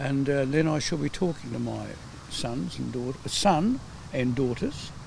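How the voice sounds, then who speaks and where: A man speaks at a fairly slow pace with an Australian accent. Noticeable background noise and audible room echo are present. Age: 70s. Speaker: study participant. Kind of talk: interview.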